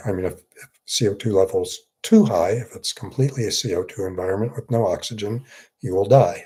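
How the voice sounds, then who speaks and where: This man's voice is somewhat breathy, with a dark, mellow tone at medium pitch and ordinary pitch variation. He speaks at a fairly quick pace on a very clean recording with a silent background. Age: 60s. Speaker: psychiatrist. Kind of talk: live Q&A. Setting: livestream. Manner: halting.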